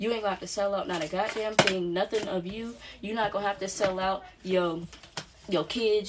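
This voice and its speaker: Amid noticeable background noise, a woman with a medium-pitched voice speaks in an animated tone at a fairly quick pace. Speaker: spiritual channeler and energy reader. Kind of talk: channeled spiritual reading. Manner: fast.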